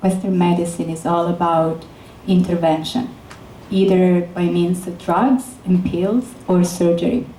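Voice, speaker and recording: Over noticeable background noise and audible room echo, a woman with a fairly low pitch speaks at a fairly slow pace, with ordinary pitch variation. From Italy, Florence. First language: Italian. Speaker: neuroscientist. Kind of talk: lecture.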